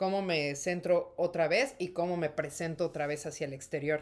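This is a plain, everyday voice whose pitch varies in an ordinary way. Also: woman. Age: 30s. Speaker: actress and podcast co-host. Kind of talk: casual chat.

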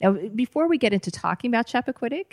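A fairly high-pitched woman with an American accent, in a very clean recording with a silent background. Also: dry, close sound with no echo. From Boston area. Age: 40s. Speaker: podcast host and screenwriting instructor. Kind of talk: interview.

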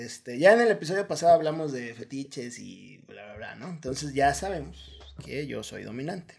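A man with a fairly high pitch and vocal fry speaks at a moderate pace. His intonation is lively and his loudness swings widely. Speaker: podcast co-host. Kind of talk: casual chat.

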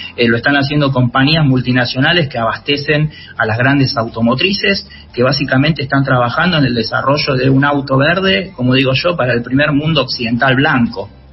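Medium-pitched male speech at a fairly quick pace, ordinary pitch variation and very even loudness, amid noticeable background noise. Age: 40s. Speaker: author and environmental journalist. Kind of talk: interview.

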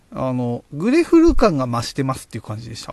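A man talks at a fairly quick pace. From Japan, Tochigi (Oyama). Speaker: beer podcast host. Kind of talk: casual solo talk. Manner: hesitant, many fillers.

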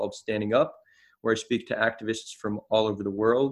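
A man with a New Jersey accent talks at a medium pitch. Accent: American (New Jersey). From US, New Jersey. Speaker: social activist. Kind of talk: casual chat. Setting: remote call.

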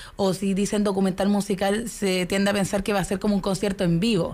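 A woman talks at a moderate pace. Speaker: film festival producer. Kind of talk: radio interview.

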